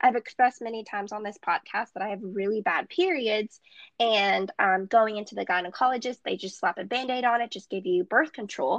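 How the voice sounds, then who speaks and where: A woman with a normal speaking voice and a fairly high pitch talks at a fairly quick pace with ordinary pitch variation and big swings in loudness. The sound is dry and close with no echo, over a quiet background. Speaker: podcast co-host, dietetics student. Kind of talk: casual chat.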